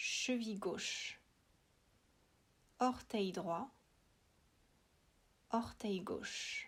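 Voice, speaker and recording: A woman's very slow speech with long, frequent pauses. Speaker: yoga nidra guide. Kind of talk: guided relaxation.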